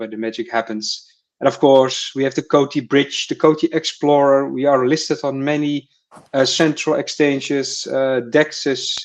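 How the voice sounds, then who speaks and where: A man with a Dutch accent speaks at a fairly high pitch and a moderate pace. His intonation is fairly even, and the background is quiet. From Netherlands. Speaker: crypto community writer. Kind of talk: casual chat. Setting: live stream. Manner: halting, many fillers and repetitions.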